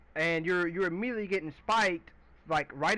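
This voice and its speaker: A loud man's high voice, bright and sharp in tone, with ordinary pitch variation. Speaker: gaming video creator. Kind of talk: gameplay commentary rant. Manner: halting.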